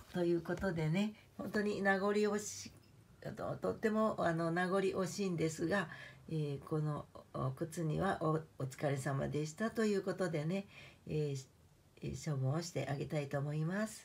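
Fairly low, somewhat breathy woman's voice at a fairly slow pace, with ordinary pitch variation. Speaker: YouTuber; home vlogger. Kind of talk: vlog monologue. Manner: formal polite; hesitant, many fillers. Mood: warm, nostalgic, smiling.

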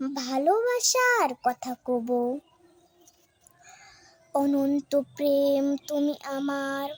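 Recorded with a dry, close sound and no echo, a woman speaks at a high pitch with ordinary pitch variation. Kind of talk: poetry reading. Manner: emotional.

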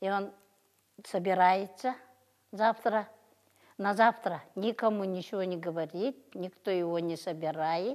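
In a quiet background, a woman speaks very slowly with long, frequent pauses. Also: ordinary pitch variation. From Yakutia, Russian Far North. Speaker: folk craftswoman. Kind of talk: casual explanation. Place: hall.

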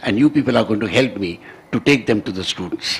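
A man with an Indian accent talks with lively intonation. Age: 70s. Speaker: scientist and education advisor. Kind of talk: lecture. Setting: stage with audience. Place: hall. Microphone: podium.

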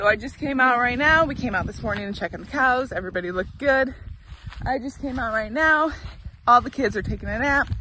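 A woman with a high pitch speaks at a very fast pace, with ordinary pitch variation and big swings in loudness. The sound is dry with no echo, and there is light background noise. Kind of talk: casual vlog chat. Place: open country. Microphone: phone near.

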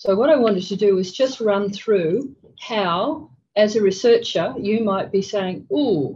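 With lively intonation, a somewhat breathy woman talks at a fairly slow pace over light background noise. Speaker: conference presenter. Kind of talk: lecture. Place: meeting room.

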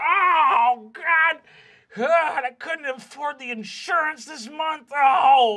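A high-pitched, put-on character voice at a very slow pace. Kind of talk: casual, exasperated. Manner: gruff, distressed.

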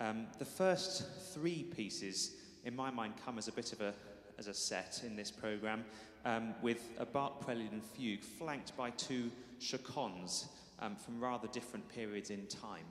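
A man talks at a moderate pace. Audible room echo surrounds his voice. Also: lively intonation. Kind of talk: spoken programme introduction to an audience. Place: church.

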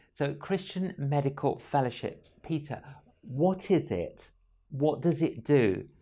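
Very slowly, a man speaks in a fairly high pitch with a dark, mellow, somewhat breathy tone and ordinary pitch variation. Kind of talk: interview. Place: studio. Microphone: lapel.

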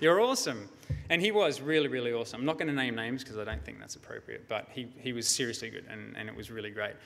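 Speaking very fast with an Australian accent, a man makes big swings in loudness. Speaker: security researcher; conference presenter. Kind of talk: conference talk. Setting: stage with audience. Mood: storytelling, mildly wry. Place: hall. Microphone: podium.

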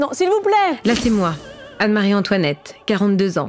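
A woman at a moderate pace, with faint music in the background. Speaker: actress. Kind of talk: acting demo reel scenes. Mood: cheerful, animated, comedic.

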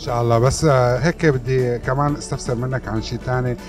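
A man is talking fairly quickly. Behind his voice, music can be heard clearly. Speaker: interviewer. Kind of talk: interview questions. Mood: friendly, lively. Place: hall. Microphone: handheld.

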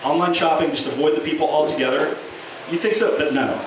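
A high-pitched man at a very fast pace with lively intonation, amid audible room echo and noticeable background noise. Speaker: open-mic stand-up comedian. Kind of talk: stand-up comedy set at an open mic, with scripted jokes and bits. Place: bar. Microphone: camera far.

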